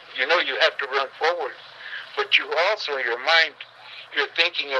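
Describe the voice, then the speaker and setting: A man with an American accent over noticeable background noise. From Manteca, California. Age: 80s+. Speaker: World War II veteran. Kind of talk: interview answer.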